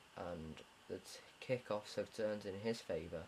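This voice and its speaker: At a moderate pace, a man talks in a fairly low voice. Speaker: gamer commentating own replay. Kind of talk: gameplay commentary. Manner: monotone.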